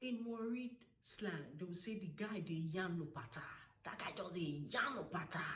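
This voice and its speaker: With a Nigerian accent, a woman talks at a moderate pace and medium pitch with lively intonation over noticeable background noise. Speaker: language tutor. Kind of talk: casual talk to camera.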